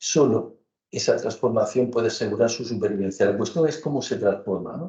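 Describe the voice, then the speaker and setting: Somewhat breathy, a man speaks at medium pitch in a dark, mellow tone with ordinary pitch variation. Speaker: architecture professor. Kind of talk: academic lecture. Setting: lecture hall with audience. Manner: slow, deliberate; hesitant, many fillers.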